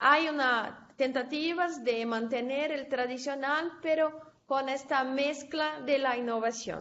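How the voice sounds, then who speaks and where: A woman's high voice in a Portuguese accent, very slow yet with hardly any pauses, fairly even in intonation, with audible room echo. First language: Portuguese (speaking Spanish). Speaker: conference speaker, researcher. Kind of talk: academic presentation and Q&A. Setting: conference session, recorded. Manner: halting.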